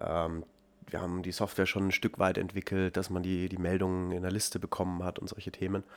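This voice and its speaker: Over a very clean recording with a silent background, a man with a very deep, low pitch talks at a fairly quick pace in a monotone, flat intonation. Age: 20s. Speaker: startup founder and CEO. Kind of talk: interview conversation.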